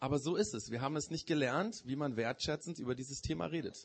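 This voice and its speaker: A man's fairly high voice comes across somewhat breathy. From Germany. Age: 40s. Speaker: preacher. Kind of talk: sermon. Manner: hesitant, many filler sounds.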